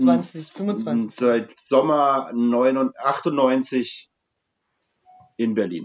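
Using lively intonation, a man talks at a very slow pace with long, frequent pauses. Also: medium pitch for a man. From Franconia, Germany. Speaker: brewery co-owner. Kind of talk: casual chat. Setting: video call.

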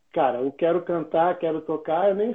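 This man's voice sits high in pitch. He talks at a fairly slow pace. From Rio de Janeiro. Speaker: singer and musician. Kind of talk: casual chat.

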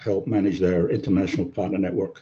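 Fairly quick speech from a man with a very deep, low voice and normal pitch movement. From English Midlands (Wolverhampton), childhood in Germany and Libya. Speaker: IT service delivery executive. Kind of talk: casual interview. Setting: remote call.

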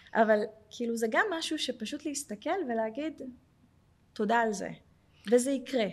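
Pausing long and often, a woman talks at a moderate pace in a high pitch with ordinary pitch variation. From Jerusalem, Israel. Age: 40s. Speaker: welfare manager at a tech company. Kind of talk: personal testimony.

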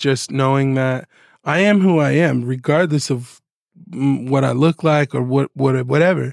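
A man's unremarkable speaking voice with an American accent, fairly high in pitch and fairly slow, dry and close with no echo. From Southern California (Oceanside). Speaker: music producer. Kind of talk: casual chat.

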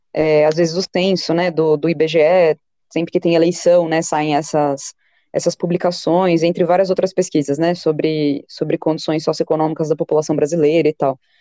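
A woman's dark, mellow, monotone voice at a moderate pace, its loudness very even. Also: fairly low pitch for a woman, dry, close sound with no echo. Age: 20s. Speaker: sociologist and teacher. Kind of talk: interview. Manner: hesitant, many fillers.

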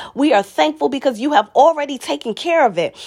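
A woman's high-pitched voice with a warm tone. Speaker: prayer leader. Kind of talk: fervent prayer, rhythmic repetitive petitions and praise, building to declarations. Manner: impassioned, pleading, steady cadence with repeated phrases; warm, uplifting, devout.

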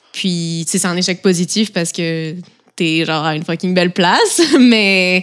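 At a fairly slow pace, a woman with a normal speaking voice talks at medium pitch with fairly even intonation. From eastern France near Switzerland. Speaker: roommate. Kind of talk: casual chat.

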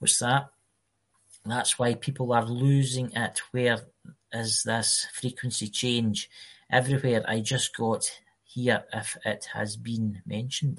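Over a quiet background, a man talks very slowly in a somewhat breathy voice at medium pitch with fairly even intonation. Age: 40s. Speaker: podcast co-host. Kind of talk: casual chat.

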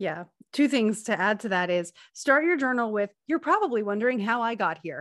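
A woman speaks in an animated tone with fairly high pitch. Her pitch swings very widely at a moderate pace. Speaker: podcast host. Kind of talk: casual chat. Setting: video call recording. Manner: animated, laughs often.

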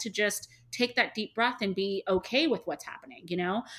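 On a very clean recording with a silent background, a woman talks at a fairly quick pace in an ordinary speaking voice, medium in pitch with ordinary pitch variation. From Canada, Toronto. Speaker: hair removal studio owner. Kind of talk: interview.

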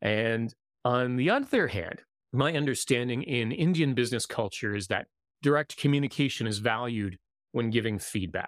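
Ordinary pitch variation marks this man's moderate pace. It is a normal speaking voice. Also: medium pitch for a man, very clean recording, silent background. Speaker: podcast host and intercultural coach. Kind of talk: live-streamed interview. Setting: live stream video.

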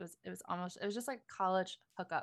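A woman speaks at a fairly quick pace with ordinary pitch variation, in a plain, everyday voice. The recording is very clean, with a silent background. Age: 30s. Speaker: adult content creator. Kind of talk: casual interview.

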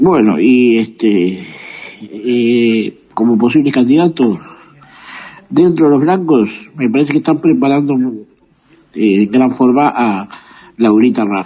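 Speaking very slowly with long, frequent pauses, a man keeps his loudness very even while his medium-pitched voice moves with lively intonation. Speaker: listener sending voice message. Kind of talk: voice message opinion. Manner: halting.

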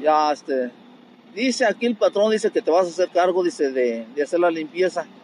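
Lively in intonation and high in pitch, a man talks at a fairly quick pace over noticeable background noise. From Querétaro, Mexico (from age 9; born in Guanajuato sierra). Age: 60s. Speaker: street vendor and bricklayer. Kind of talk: casual interview. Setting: outdoors at his street stall.

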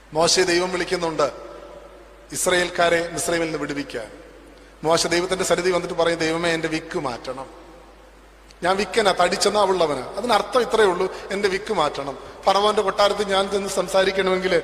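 A man talks at a high pitch. The room echoes audibly, and background noise is noticeable. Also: ordinary pitch variation. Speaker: preacher. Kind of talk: sermon.

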